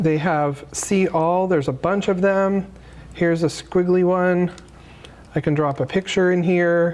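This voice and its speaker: A woman with an American accent has a normal speaking voice, fairly low in pitch, with fairly even intonation and very even loudness. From Arizona (Phoenix). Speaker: graphic designer and presenter. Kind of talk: workshop tutorial. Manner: casual, many fillers.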